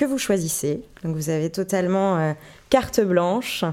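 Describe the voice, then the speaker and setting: A woman with a dark, mellow tone and medium pitch speaks at a fairly slow pace, her intonation lively. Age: 20s. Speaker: podcast host, journalist. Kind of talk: interview.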